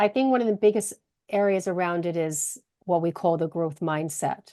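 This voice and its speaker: A woman talks at a fairly low pitch with a dark, mellow tone. Her pace is moderate, with ordinary pitch variation. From British Canadian. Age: middle-aged. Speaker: HR consultant and career coach. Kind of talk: podcast interview.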